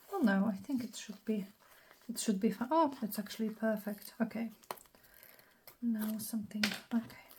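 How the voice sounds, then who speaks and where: Over noticeable background noise, the speaker keeps a moderate pace with fairly even intonation and long, frequent pauses. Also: woman, fairly high pitch for a woman. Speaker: craft youtuber. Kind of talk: tutorial. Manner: casual, thinking aloud.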